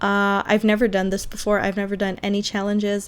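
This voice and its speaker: A woman's voice at medium pitch. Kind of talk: casual gameplay voiceover. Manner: hesitant, many fillers.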